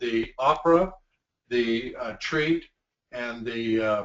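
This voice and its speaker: A man talks in an unremarkable speaking voice. His pitch sits fairly high, with ordinary pitch variation. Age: 60s. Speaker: company executive. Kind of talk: training webinar. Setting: video call.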